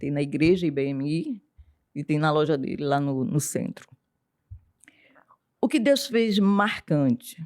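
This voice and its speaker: A woman speaks with a very deep, low pitch at a fairly slow pace, leaving long, frequent pauses. The sound is dry and close, with no echo. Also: lively intonation. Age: 60s. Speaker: writer and psychoanalyst. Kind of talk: testimony.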